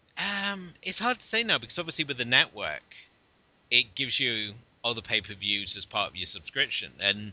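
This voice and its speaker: Speaking at a moderate pace with a British accent, a man keeps a medium pitch while his voice makes very wide pitch swings. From UK. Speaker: podcast co-host. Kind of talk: casual chat.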